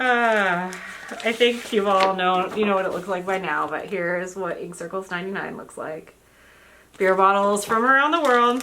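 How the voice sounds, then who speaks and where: Over noticeable background noise and audible room echo, a woman speaks at a medium pitch with ordinary pitch variation and big swings in loudness. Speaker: crafting vlogger. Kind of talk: casual chat. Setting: indoors at home. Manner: fast.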